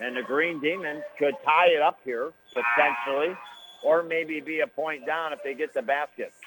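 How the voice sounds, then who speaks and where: Noticeable background noise accompanies the recording. A man with an American accent speaks at a fairly high pitch with fairly even intonation. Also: moderate pace. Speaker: radio play-by-play announcer. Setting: radio broadcast from gym. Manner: chatty and folksy between plays.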